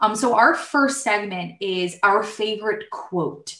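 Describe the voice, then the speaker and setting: A woman in a New Jersey accent talks at a fairly slow pace and medium pitch with ordinary pitch variation, with audible room echo. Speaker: podcast host, IT professional. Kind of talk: casual chat.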